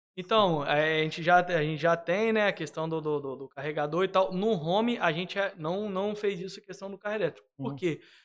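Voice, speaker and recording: The speech has hardly any pauses and ordinary pitch variation. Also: man, high pitch for a man, fairly quick pace. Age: 30s. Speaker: construction company owner. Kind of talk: casual interview.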